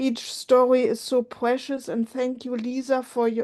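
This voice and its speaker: A woman speaks in a German accent with a dark, mellow tone. Her pitch is high, and her intonation is monotone and flat. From Germany. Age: 50s. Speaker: support group member. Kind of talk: emotional sharing in support group. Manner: halting.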